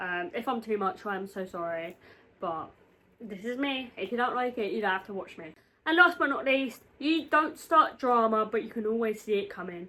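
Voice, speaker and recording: With a British accent, a woman talks at a moderate pace, her fairly high voice bright and sharp in tone and lively in intonation. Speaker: YouTuber. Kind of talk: casual chat. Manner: animated.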